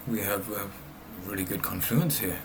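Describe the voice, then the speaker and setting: There is noticeable background noise as a man speaks. Audible room echo surrounds his voice. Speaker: day trader. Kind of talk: live trading commentary. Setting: recording himself at a trading screen.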